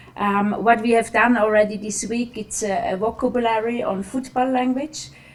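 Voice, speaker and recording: Noticeable background noise behind a woman's fairly high voice at a moderate pace. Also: fairly even intonation. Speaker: national women's football team coach. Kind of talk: press conference. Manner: halting, many fillers.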